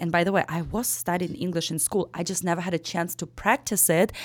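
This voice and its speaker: At a moderate pace, a woman talks with a Ukrainian accent. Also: very clean recording, silent background. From Ukraine. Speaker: real estate broker. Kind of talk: casual interview chat.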